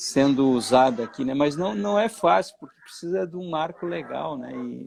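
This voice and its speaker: Using an ordinary speaking voice, a man speaks fairly slowly at a fairly high pitch with lively intonation. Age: 60s. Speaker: finance professor. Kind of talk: interview conversation.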